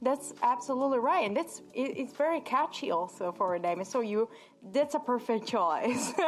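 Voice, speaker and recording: Over noticeable background noise, a woman with an Italian accent speaks at a high pitch and moderate pace, with lively intonation and very even loudness. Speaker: radio host. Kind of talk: radio interview.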